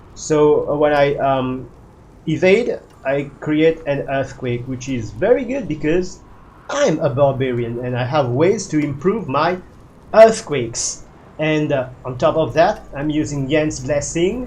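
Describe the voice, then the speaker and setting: With a non-native accent, a man with a fairly high pitch talks at a fairly slow pace, somewhat breathy and with lively intonation, amid audible room echo. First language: not English. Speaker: gaming video creator. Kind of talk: gameplay build walkthrough. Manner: halting, many fillers.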